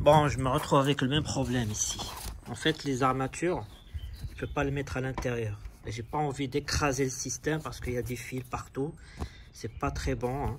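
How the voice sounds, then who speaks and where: The speech moves at a moderate pace with fairly even intonation. Pauses are long and frequent. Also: man, medium pitch for a man. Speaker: car DIY youtuber. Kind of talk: tutorial. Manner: casual, hesitant with repeats.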